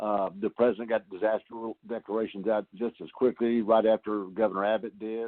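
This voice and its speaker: A man with a Southeast Texas accent, a fairly quick pace, flat monotone intonation and hardly any pauses. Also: fairly low pitch for a man. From Texas Gulf Coast. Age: 60s. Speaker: congressman. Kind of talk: telephone town hall answers. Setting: phone call.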